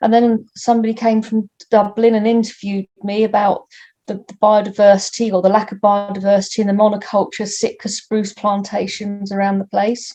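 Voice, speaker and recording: A woman speaks at a fairly quick pace and a medium pitch in a monotone, flat way, her voice somewhat breathy with a dark, mellow tone. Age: 60s. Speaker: environmental activist. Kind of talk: personal account interview. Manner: halting, with many repeated words.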